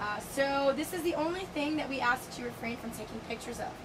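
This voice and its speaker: A woman races through her words at a very fast pace, with noticeable background noise around her. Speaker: dolphin trainer. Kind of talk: safety briefing to visitors. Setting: outdoors.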